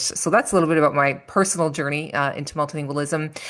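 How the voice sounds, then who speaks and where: Speaking very fast, a woman with a Canadian accent has a very deep, low pitch. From Canada, Toronto. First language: French. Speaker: language teacher and instructional coach. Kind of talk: podcast interview.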